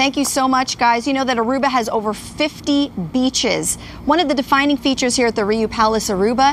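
Against light background noise, a woman with a high pitch talks at a fairly quick pace with fairly even intonation and very even loudness. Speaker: TV travel reporter. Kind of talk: live TV report.

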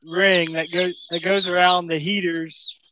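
A fairly slow, high-pitched male voice with a fairly bright tone and little pitch movement

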